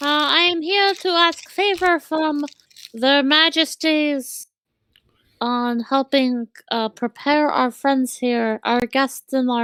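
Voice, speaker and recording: A loud, put-on character voice, high-pitched and squeaky. It moves along at a fairly slow pace. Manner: loud squeaking.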